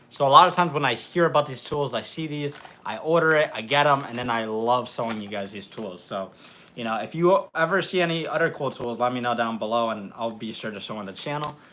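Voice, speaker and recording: Over noticeable background noise, a man speaks very fast at medium pitch with lively intonation. His loudness swings a lot. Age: young. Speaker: mechanic and YouTube host. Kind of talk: live stream Q&A. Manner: casual, filler-heavy.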